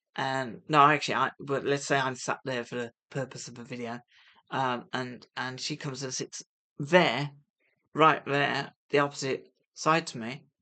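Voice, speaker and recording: In a British accent, a woman with a very deep, low voice and a bright, sharp tone speaks with fairly even intonation and big swings in loudness against a quiet background. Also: moderate pace. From UK. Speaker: vlogger on gambling recovery. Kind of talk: casual vlog monologue. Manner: hesitant, many fillers; soft-spoken.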